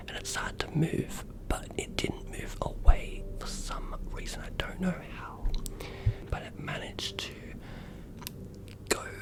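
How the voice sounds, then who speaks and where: Whispering over noticeable background noise, a man speaks very slowly with long, frequent pauses. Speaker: new ASMR creator. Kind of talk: ASMR whisper story-time. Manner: whispered, soft-spoken.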